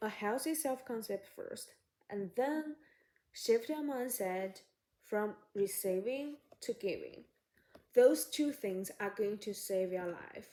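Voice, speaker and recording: A woman with a non-native accent speaks very slowly, in a dark, mellow tone. Her intonation is lively, and long pauses come often. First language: not English. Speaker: psychology YouTuber. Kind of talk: casual advice talk to camera. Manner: halting.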